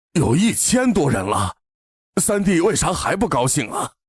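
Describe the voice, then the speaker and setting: A man performs a raspy, high-pitched cartoonish character voice with very wide pitch swings. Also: moderate pace. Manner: laughing, swaggering.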